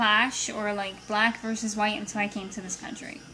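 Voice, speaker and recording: In a room with audible echo, a woman talks at a fairly high pitch. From Brazil, moved to US at age nine. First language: Portuguese. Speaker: accountant interviewed by niece. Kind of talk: casual interview.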